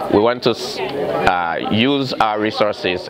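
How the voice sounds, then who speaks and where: The voice belongs to a man. Crowd noise can be heard in the background. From Sierra Leone. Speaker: cardiac and intensive care nurse. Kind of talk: interview. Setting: community health fair. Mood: earnest, community-minded. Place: hall.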